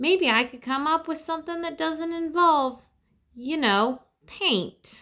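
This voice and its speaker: A put-on character voice with a high pitch moves at a fairly slow pace. The recording is very clean, with a silent background. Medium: read story. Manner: dry, sardonic.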